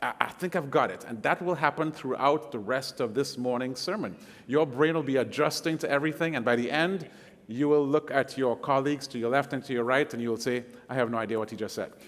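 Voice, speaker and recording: A man with a Caribbean accent talks at a very fast pace. His voice is medium-pitched with ordinary pitch variation. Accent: Caribbean accent, noticeable. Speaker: guest preacher. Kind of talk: sermon. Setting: church service. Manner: hesitant fillers, conversational.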